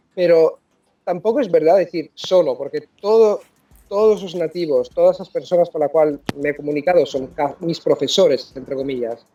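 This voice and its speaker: Over music in the background, a man talks at a moderate pace with a high pitch and ordinary pitch variation. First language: Italian (speaking Spanish). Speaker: polyglot, language coach. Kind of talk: interview. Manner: halting, frequent self-corrections.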